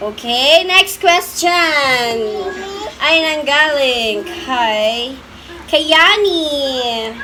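Amid noticeable background noise and audible room echo, a woman projects a raised, high-pitched voice with lively intonation, speaking very slowly with long, frequent pauses. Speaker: vlogger. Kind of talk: casual chat; vlog outro. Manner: laughing often.

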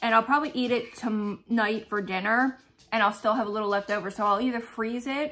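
The voice has a bright, sharp tone, fairly even intonation and a fairly quick pace. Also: woman. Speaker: lifestyle vlogger. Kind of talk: casual vlog chat. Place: home room. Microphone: phone near.

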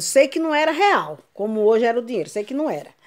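The background is quiet. The pitch swings very widely. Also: woman. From Brazil. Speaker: YouTuber, grandmother; YouTuber. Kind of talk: casual vlog. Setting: at home. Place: home room. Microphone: phone near.

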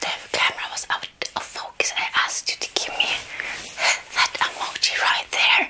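The speaker is a woman, and she whispers. Her pace is moderate. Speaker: video creator. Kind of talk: casual vlog chat. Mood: cheerful. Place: home room. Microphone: lapel.

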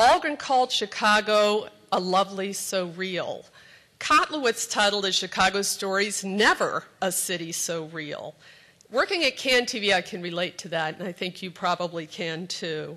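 A woman with a medium-pitched voice and a bright, sharp tone speaks at a moderate pace, her loudness swinging widely and her pitch varying in an ordinary way. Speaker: community TV executive director. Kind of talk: introductory speech. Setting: stage with audience. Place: hall. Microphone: podium.

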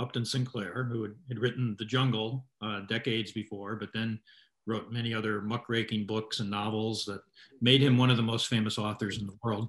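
In a medium-pitched voice, a man speaks with monotone, flat intonation. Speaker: author and journalist. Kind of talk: interview answer. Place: home room.

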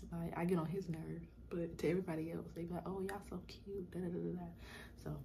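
A woman speaks quietly at a fairly quick pace. Light background noise is present. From South Carolina. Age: 20s. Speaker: YouTuber; vlogger. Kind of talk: casual vlog Q&A. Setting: at home in apartment. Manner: quiet, talking low. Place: home room. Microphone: phone near.

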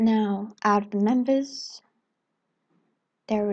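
A woman speaks very slowly in a fairly high, somewhat breathy voice. Her intonation stays fairly even. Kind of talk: casual talk to viewers. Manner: dull, flat.

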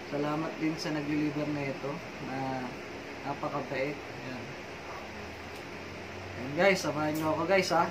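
A man's speech full of long, frequent pauses over loud background noise. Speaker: vlogger. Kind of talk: casual vlog chat. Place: home room.

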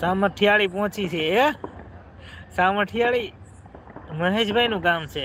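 This man's voice is high in pitch, with ordinary variation in its melody. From Gujarat, Bhavnagar. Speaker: vlogger. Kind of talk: live stream chat. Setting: outdoors in a garden. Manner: animated.

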